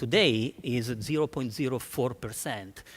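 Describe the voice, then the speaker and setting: In an Italian accent, a man speaks at a moderate pace. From Italy. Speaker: marketing executive. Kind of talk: conference talk. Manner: halting, many fillers and restarts.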